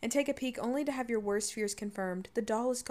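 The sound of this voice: With ordinary pitch variation, the reader keeps to an unforced reading voice.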